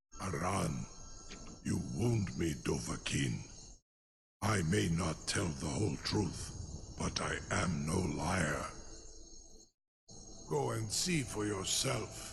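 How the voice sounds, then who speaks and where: In a put-on character voice, a man speaks at a very slow pace with very wide pitch swings and long, frequent pauses. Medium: video game. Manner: measured, grand, laced with dragon tongue.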